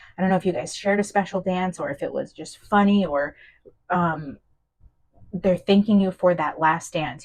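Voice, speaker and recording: A woman speaks fairly quickly at a medium pitch, somewhat breathy, with ordinary pitch variation. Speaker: tarot reader. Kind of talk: channeled tarot reading. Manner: fast; hesitant, many fillers and restarts.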